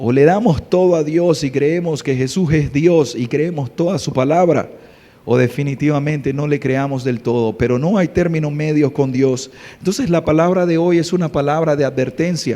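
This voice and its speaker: A man speaks at a moderate pace with ordinary pitch variation. Noticeable background noise runs behind him. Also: fairly high pitch for a man. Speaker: pastor. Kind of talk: sermon. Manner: soft-spoken.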